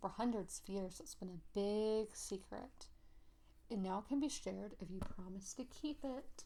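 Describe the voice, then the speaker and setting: Soft-spoken and somewhat breathy, a woman with an American accent and medium pitch speaks in a dark, mellow tone at a fairly slow pace with ordinary pitch variation. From South Carolina. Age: 20s. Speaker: ASMR creator. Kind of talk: ASMR storybook reading.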